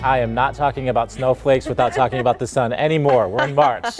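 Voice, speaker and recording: Over music in the background, a man talks at a very fast pace with medium pitch and fairly even intonation. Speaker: TV news anchor. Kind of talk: TV news broadcast read. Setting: studio.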